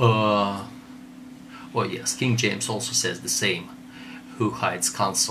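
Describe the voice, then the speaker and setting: The voice moves at a fairly slow pace with fairly even intonation and long, frequent pauses. Noticeable background noise runs underneath. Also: man, medium pitch for a man. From Russia. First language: Russian. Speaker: theologian. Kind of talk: lecture. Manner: halting.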